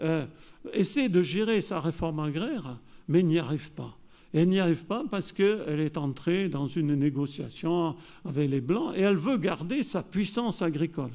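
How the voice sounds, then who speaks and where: The voice has a southern French accent and a dark, mellow tone. Its intonation is lively. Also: man. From southern France. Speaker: geographer and researcher. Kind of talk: conference lecture. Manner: hesitant, many fillers.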